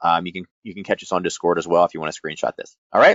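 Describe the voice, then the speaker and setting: Very fast male speech with vocal fry. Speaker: forex trading educator. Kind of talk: trading tutorial livestream. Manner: casual, filler-heavy.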